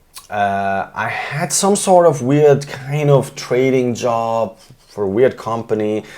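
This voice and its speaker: A man speaks at a very slow pace with lively intonation over noticeable background noise. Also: medium pitch for a man. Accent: Polish. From Poland, then Germany from age ten. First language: Polish. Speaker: composer and artist. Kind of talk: casual interview chat. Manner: halting, with fillers and restarts.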